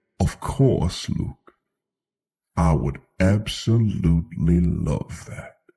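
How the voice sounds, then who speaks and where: Using a put-on character voice, a man speaks at a very slow pace in a very deep, low pitch. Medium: read story. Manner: calm, measured.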